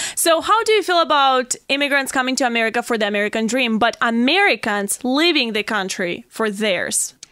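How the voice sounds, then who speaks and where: A high-pitched woman talks with lively intonation and hardly any pauses, with noticeable background noise behind her. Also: fairly quick pace. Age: 20s. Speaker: podcast host. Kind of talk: interview. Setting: studio.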